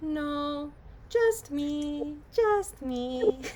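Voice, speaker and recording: Over clear background noise, a put-on character voice speaks at a high pitch. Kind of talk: odd put-on creature voice. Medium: actual play. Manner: broken simple speech, repetitive.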